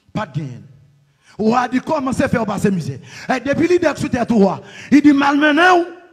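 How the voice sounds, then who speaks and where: A man with a Haitian accent speaks in an extremely high pitch at a moderate pace, with long, frequent pauses. His tone is animated and his intonation lively. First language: Haitian Creole (speaking French). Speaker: pastor. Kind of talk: sermon.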